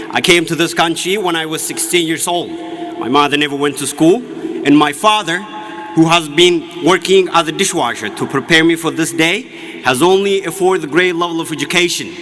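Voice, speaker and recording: Over noticeable background noise, a man with a high pitch speaks fairly quickly with fairly even intonation. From Ethiopia, Oromia. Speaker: graduating student speaker. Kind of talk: commencement speech.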